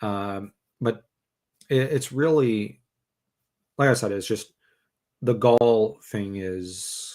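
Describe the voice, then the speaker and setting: On a very clean recording with a silent background, a man speaks very slowly at a medium pitch with ordinary pitch variation and long, frequent pauses. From Canada. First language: French. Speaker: podcast host. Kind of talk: casual chat. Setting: live stream.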